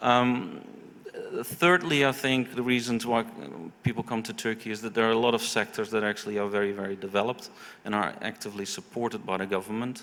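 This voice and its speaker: The speaker is a man with a medium pitch. He talks at a fairly quick pace with ordinary pitch variation. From Netherlands. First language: Dutch. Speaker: investment consultant. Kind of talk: panel discussion. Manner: halting, many fillers and repetitions.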